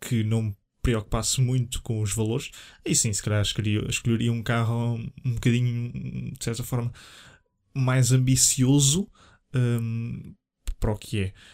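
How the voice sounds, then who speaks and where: Speaking with a European Portuguese accent, a man has a medium pitch and fairly even intonation at a fairly slow pace. Long, frequent pauses break his speech in a very clean recording with a silent background. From Portugal, Leiria. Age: 20s. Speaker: podcast host. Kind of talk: solo casual monologue. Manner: hesitant, many fillers.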